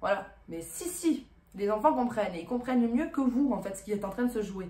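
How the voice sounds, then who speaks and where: A woman talks at a fairly quick pace with very wide pitch swings, amid noticeable background noise and audible room echo. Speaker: relationship advice youtuber. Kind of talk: vlog monologue. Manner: fast; casual with fillers.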